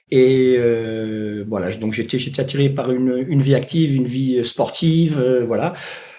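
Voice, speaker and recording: A man at medium pitch with a dark, mellow tone, fairly slow pace, hardly any pauses, ordinary pitch variation and audible room echo. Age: 60s. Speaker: retired firefighter and dog trainer. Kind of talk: interview. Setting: podcast. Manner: halting, many hesitations.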